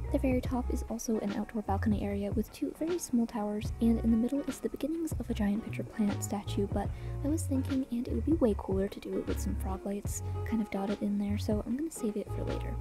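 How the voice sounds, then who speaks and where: Music plays in the background. The speech moves at a very fast pace. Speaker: gaming content creator. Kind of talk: gameplay commentary narration.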